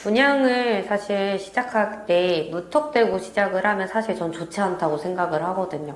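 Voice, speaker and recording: Through noticeable background noise, a woman of medium pitch talks with lively intonation. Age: 20s. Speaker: real estate sales consultant. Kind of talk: interview answer.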